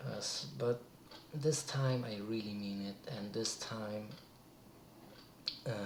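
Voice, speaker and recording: With noticeable background noise and audible room echo, a man at medium pitch speaks at a fairly slow pace, with long, frequent pauses, ordinary pitch variation and big swings in loudness. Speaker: vlogger. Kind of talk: casual vlog talk. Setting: alone in a room at night. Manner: halting, many restarts.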